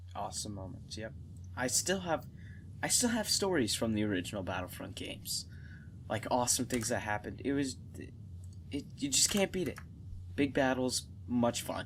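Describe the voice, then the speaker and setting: With lively intonation and long, frequent pauses, a man speaks in a somewhat breathy voice. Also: medium pitch for a man. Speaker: gaming podcast co-host. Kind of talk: casual chat. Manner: fast.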